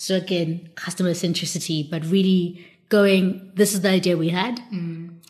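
Somewhat breathy woman's voice at a moderate pace, monotone and flat in intonation. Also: medium pitch for a woman. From South Africa. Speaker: podcast co-host. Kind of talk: casual chat.

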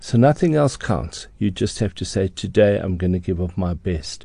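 This man speaks at a moderate pace in a fairly low pitch, his tone dark and mellow and somewhat breathy. The background is quiet. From South Africa, Johannesburg. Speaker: interior designer. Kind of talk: interview. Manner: hesitant, filler-heavy.

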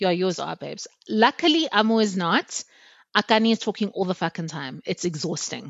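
A woman speaks at a fairly quick pace with lively intonation and some vocal fry. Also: medium pitch for a woman. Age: 30s. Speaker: podcast co-host. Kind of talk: casual chat.

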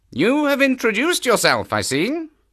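A man performs a put-on character voice at an extremely high pitch, with very wide pitch swings, a fairly bright tone and a fairly slow pace, in a very clean recording with a silent background.

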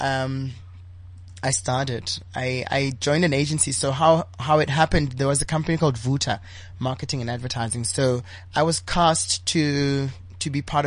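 Somewhat breathy, a man talks at a moderate pace and medium pitch with ordinary pitch variation. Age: 30s. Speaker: LGBTI activist and entrepreneur. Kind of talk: interview.

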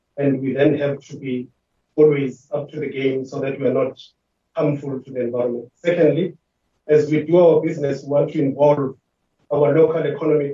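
Somewhat breathy, the voice moves at a fairly quick pace with monotone, flat intonation. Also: man. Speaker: water board chief executive. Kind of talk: formal committee presentation. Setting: virtual meeting. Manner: formal.

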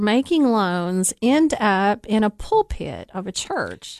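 Against a quiet background, a woman's voice moves in very wide pitch swings. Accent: Southern US. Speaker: radio host. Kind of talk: radio interview.

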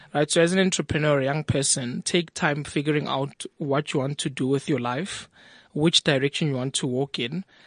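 A man with a normal speaking voice talks at a moderate pace and fairly high pitch. The sound is dry and close with no echo, over a quiet background. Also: fairly even intonation. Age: 20s. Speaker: entrepreneur. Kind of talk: interview. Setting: studio.

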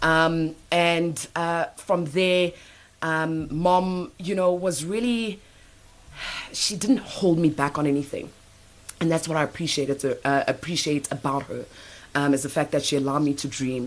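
Speaking fairly slowly in an ordinary speaking voice, a woman keeps a fairly low pitch with ordinary pitch variation. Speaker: radio host. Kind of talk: interview. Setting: studio.

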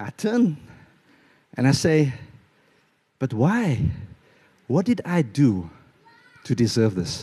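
Very slow and full of long, frequent pauses, a man's dark, mellow, somewhat breathy voice swings very widely in pitch. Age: 30s. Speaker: preacher. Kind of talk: sermon. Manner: animated.

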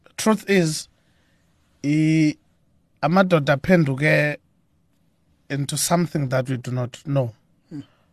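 A fairly high-pitched man with a South African accent, at a fairly slow pace with long, frequent pauses, ordinary pitch variation and big swings in loudness, in a dry, close sound with no echo. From South Africa, Eastern Cape (Mthatha). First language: Xhosa. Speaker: gospel musician. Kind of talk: radio interview. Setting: radio studio.

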